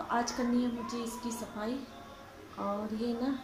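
Noise in the background is noticeable. Through it, a woman talks. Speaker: homemaker vlogger. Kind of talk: casual vlog chat. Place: kitchen. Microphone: phone near.

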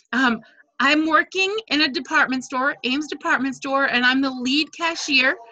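Raised and projected, a woman's voice sits high in pitch with ordinary variation, a bright, sharp tone and a moderate pace. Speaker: direct sales team leader. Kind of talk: casual team video meeting. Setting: video call. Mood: friendly, lightly humorous. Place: home room. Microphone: unstable wifi connection; video call.

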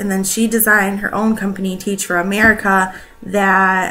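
A woman's monotone, flat delivery over light background noise. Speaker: presenter. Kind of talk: school report talk. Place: home room. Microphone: webcam.

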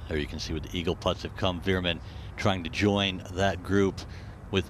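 A man's very deep, low-pitched voice. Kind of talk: live golf commentary. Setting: studio voiceover over highlights. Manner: measured, matter-of-fact broadcast delivery; fluent, smooth, polished running commentary.

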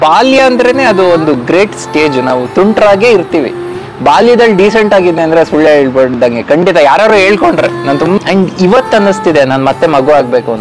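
Over clear background music, a man talks in a high voice with very wide pitch swings. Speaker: radio jockey. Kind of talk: interview answer. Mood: turns emotional at the end. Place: garden.

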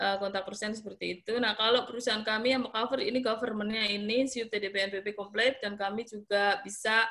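A woman with fairly high pitch speaks in a monotone, flat intonation at a moderate pace against a quiet background. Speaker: small business entrepreneur; webinar presenter. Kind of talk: webinar presentation. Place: office. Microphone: video call.

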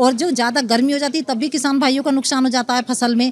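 At a fairly quick pace, a woman speaks with a high pitch. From Uttar Pradesh, India (Amroha district, village); Uttar Pradesh. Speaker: farmer. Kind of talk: interview; interview answer. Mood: pleased, animated. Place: hall. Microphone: handheld.

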